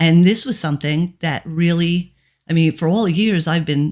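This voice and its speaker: A woman talks with a plain, everyday voice at a fairly low pitch. Her intonation is fairly even, and the recording is very clean with a silent background. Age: 60s. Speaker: mindset coach. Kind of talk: casual conversation. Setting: her own studio, on location.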